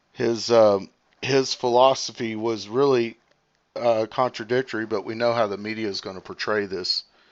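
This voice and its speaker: A man speaks in an unremarkable speaking voice with fairly even intonation. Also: medium pitch for a man, moderate pace. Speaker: live streamer. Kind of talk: live stream commentary. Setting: live stream with viewer call-in.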